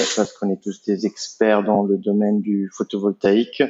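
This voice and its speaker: A man talks at a moderate pace, his pitch fairly low. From Italy. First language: Italian (speaking French). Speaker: entrepreneur, company co-founder. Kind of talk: podcast interview. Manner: hesitant, many fillers.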